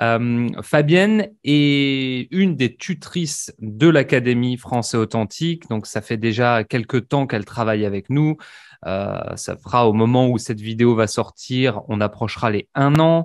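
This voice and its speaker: A man's medium-pitched voice at a very slow pace, ordinary pitch variation, a dry, close sound with no echo and a quiet background. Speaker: language teacher. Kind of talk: interview questions, casual conversation.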